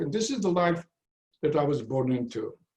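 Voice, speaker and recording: A man's fairly high voice comes through somewhat breathy. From Poland. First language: Yiddish. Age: 90s. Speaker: Holocaust survivor. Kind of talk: testimony. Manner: halting.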